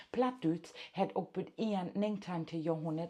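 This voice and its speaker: With an East Frisian accent, a woman speaks fairly slowly in a dark, mellow tone, her fairly low pitch carrying lively intonation. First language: Low German (speaking German). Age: old. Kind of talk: casual monologue.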